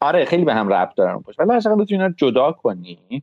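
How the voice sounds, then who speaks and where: Moving at a very fast pace, a man speaks with very wide pitch swings. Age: 30s. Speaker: tech engineer and podcaster. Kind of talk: casual chat.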